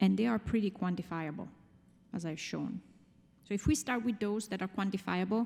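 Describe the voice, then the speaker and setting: A woman with a medium-pitched, dark, mellow voice and vocal fry talks at a fairly quick pace with long, frequent pauses and ordinary pitch variation, on a very clean recording with a silent background. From Italy. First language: Italian. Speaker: finance executive, conference speaker. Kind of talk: conference talk.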